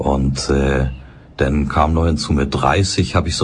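Over noticeable background noise, a man speaks in a calm tone at a moderate pace with fairly even intonation. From Hamburg, northern Germany. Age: 60s. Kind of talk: interview. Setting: studio.

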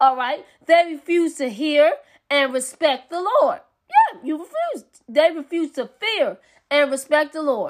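A woman's high, animated voice at a fairly slow pace, with ordinary pitch variation. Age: 30s. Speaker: preacher. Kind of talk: sermon.

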